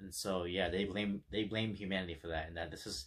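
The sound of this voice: A man's low voice with a slightly husky edge, fairly even intonation and a fairly quick pace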